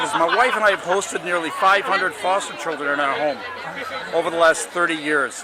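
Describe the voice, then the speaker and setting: Over crowd noise, a man with a high pitch speaks very fast in a raised, projected voice. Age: 70s. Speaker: political candidate. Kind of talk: interview. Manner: halting.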